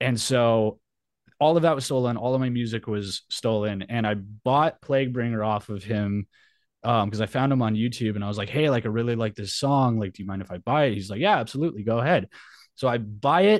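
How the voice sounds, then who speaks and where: An ordinary speaking voice with an American accent, ordinary pitch variation and a fairly quick pace, set against a quiet background. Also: man, medium pitch for a man. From New Mexico, US. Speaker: metal musician and Navy veteran. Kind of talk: casual interview.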